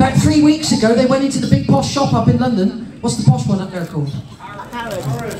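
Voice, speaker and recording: Against noticeable background noise, a man speaks fairly quickly in a high pitch with very wide pitch swings. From Cornwall. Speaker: stand-up comedian. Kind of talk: stand-up comedy routine for a family audience. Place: stage. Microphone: pa.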